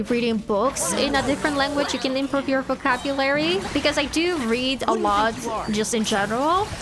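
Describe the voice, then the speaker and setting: A woman with a non-native accent talks at a moderate pace, with an animated tone and lively intonation. Music plays in the background. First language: not English. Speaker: gaming content creator. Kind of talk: casual gameplay commentary.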